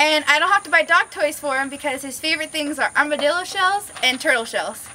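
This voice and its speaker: A woman projects a raised voice at a high pitch, talking at a fairly quick pace. Her pitch varies in an ordinary way, with light background noise behind her. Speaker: recent college graduate. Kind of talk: casting video talk to camera. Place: street.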